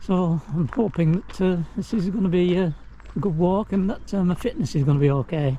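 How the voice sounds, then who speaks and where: A man's high-pitched voice at very even loudness. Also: ordinary pitch variation, fairly quick pace. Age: 70s. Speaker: hiking vlogger. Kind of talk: casual vlog narration. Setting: outdoors. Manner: hesitant, many fillers.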